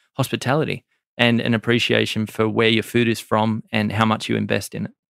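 At a fairly quick pace, a man with an Australian accent speaks at a medium pitch, with a dry, close sound and no echo. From Australia, Maitland NSW. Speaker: chef and restaurant owner. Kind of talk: interview. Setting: studio.

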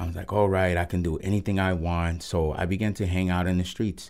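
On a very clean recording with a silent background, a man with a Spanish accent and a very deep, low pitch talks at a moderate pace with fairly even intonation. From Puerto Rico, then Los Angeles from age nine. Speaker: pastor of a recovery ministry. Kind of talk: testimony. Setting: radio studio interview. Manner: halting, many fillers and repeated words.

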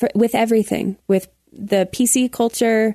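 A woman with a plain, everyday voice and an American accent speaks at a fairly slow pace in a medium pitch, with fairly even intonation and a dry, close sound with no echo. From Colorado Springs, US. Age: 20s. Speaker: entertainer and entrepreneur. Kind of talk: casual chat.

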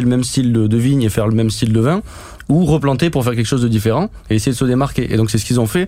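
A man rattles along at a very fast pace while noticeable background noise carries on. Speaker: winemaker. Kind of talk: interview.

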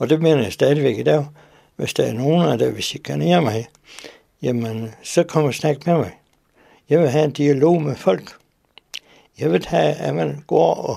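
The voice has a dark, mellow tone and very wide pitch swings. It moves at a fairly slow pace with long, frequent pauses. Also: man. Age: 70s. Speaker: letter recipient. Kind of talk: interview.

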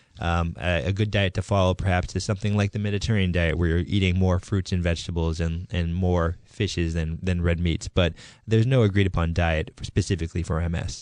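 A man's very deep, low voice in an American accent, fairly quick with hardly any pauses, fairly even in intonation, against a quiet background. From Massachusetts, near Boston. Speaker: neurologist. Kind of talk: radio interview. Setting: radio studio.

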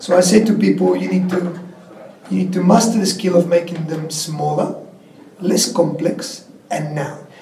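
A man talks at a moderate pace in a high pitch. Noticeable background noise sits behind him. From Argentina, coastal Patagonia. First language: Spanish. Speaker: former tech executive. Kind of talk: interview. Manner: animated.

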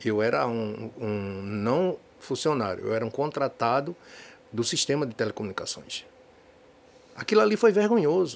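Speaking at a moderate pace with long, frequent pauses, a man with a medium pitch swings his pitch very widely. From Recife, Pernambuco, Brazil. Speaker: political candidate. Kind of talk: political interview. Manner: halting, many repetitions.

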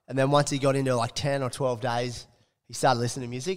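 Speaking very fast, a man uses an Australian accent at a medium pitch. The recording is very clean, with a silent background. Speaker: sports podcast co-host. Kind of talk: casual chat.

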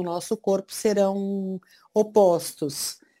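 A woman of medium pitch speaks with a dark, mellow tone and monotone, flat intonation. The recording is very clean with a silent background. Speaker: nutritionist and herbal medicine specialist. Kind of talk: interview.

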